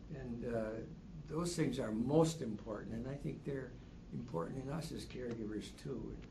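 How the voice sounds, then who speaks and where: With a dark, mellow tone and vocal fry, a man speaks at a medium pitch and moderate pace with lively intonation. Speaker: spouse caregiver. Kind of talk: support group discussion. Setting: in-person class.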